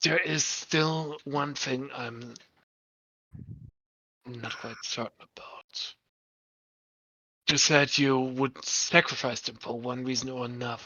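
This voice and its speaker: A put-on character voice sits at a low-to-middle pitch. It moves at a fairly slow pace, with long, frequent pauses. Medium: actual play. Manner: measured, probing.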